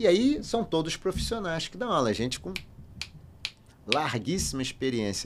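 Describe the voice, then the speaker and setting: The man's voice shows vocal fry, and he keeps a moderate pace. Very wide swings mark his pitch. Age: 60s. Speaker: finance professor and consultant. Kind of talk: podcast interview.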